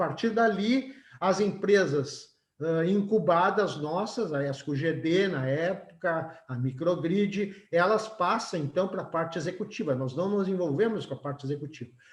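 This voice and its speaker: A man's high pitch at a fairly slow pace, ordinary pitch variation, with audible room echo. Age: 70s. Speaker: engineering professor. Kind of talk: webinar lecture. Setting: video call webinar. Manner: conversational, frequent tag questions (certo?, tá?).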